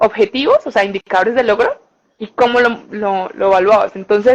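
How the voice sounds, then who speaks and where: Speaking in an unremarkable speaking voice, a woman keeps a moderate pace and fairly even intonation at a fairly high pitch. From Colombia, Bucaramanga. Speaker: communicator and journalist, language content creator. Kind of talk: interview.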